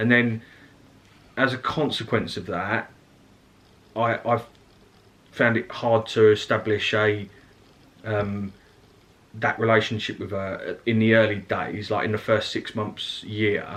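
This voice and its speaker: A man with an Essex accent talks at a medium pitch in a monotone, flat intonation, leaving long, frequent pauses. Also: fairly slow pace. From Essex, England. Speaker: family vlogger. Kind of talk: casual chat.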